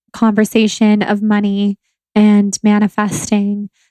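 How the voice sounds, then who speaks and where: A woman's fairly high voice in a Southern California accent, calm in tone, with a dry, close sound and no echo. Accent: Valley girl, Californian. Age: 20s. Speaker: podcast host and blogger. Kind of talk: solo podcast monologue.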